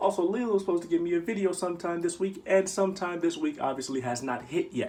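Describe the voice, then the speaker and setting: A quiet man speaks with very wide swings in pitch. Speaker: YouTuber. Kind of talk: comedic tutorial. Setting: bedroom at home. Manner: loud; restrained, kept quiet.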